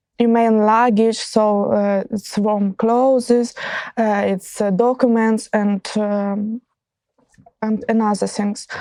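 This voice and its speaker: A dark, mellow tone comes at a fairly slow pace. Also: woman. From central Ukraine. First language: Ukrainian or Russian. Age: 20s. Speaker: war refugee. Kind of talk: interview testimony. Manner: halting, many fillers.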